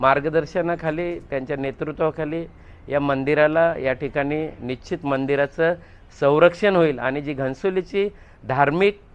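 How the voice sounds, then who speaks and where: A man has an unremarkable speaking voice at a fairly high pitch with fairly even intonation. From Ghansoli, Navi Mumbai, Maharashtra. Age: 50s. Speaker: local politician. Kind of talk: media interview. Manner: rhetorical, speech-like.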